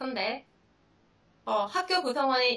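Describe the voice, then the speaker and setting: A woman with a fairly high pitch speaks at a moderate pace in an unremarkable speaking voice. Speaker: high school math teacher. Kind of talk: seminar presentation.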